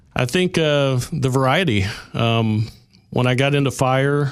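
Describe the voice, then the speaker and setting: With an Oklahoma accent, a man speaks with ordinary pitch variation. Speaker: paramedic. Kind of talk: radio interview.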